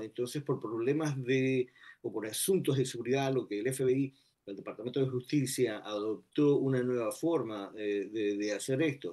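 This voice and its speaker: A man speaks at a fairly slow pace with a dark, mellow tone. The background is quiet. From Ecuador. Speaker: retired FBI agent. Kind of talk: interview. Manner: halting. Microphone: video call.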